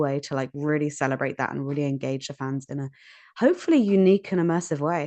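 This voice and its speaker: Against a quiet background, a woman with a British accent talks at a fairly quick pace in a very deep, low voice. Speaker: puzzle designer. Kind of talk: interview. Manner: casual, some filler words.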